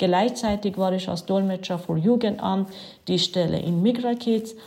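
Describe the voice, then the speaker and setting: With an Iranian accent, a woman speaks at a medium pitch in a somewhat breathy voice with a dark, mellow tone and fairly even intonation. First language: Farsi (speaking German). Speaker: city councillor and volunteer. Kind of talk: prepared statement.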